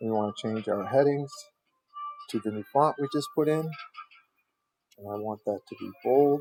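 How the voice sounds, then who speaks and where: Long, frequent pauses break up the speech, with music in the background. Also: moderate pace. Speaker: web design tutorial maker. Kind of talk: tutorial. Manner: casual.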